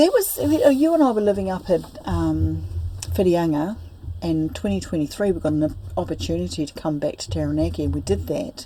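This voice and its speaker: Noticeable background noise runs beneath speech that moves at a fairly quick pace. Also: woman. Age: 60s. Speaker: spiritual teacher. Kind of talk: interview about personal life story. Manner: halting.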